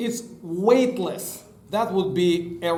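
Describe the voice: Reading aloud, plain, with pitch that varies in an ordinary way.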